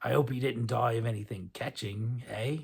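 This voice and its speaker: Putting on a character voice, a man speaks raspily at a medium pitch and moderate pace, his intonation fairly even. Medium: read story. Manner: sly, stingy haggler.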